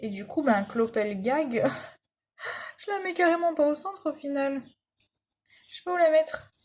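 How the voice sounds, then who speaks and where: A woman with a high pitch talks at a fairly slow pace, taking long, frequent pauses. Her voice moves in very wide pitch swings and big swings in loudness. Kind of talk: casual talk to camera while crafting. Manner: chatty.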